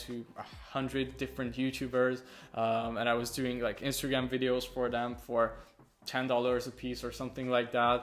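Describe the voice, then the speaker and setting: A man is speaking here. He has a Hungarian accent. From Hungary. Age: young. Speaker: young entrepreneur, video editor. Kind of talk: casual interview. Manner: hesitant, many fillers.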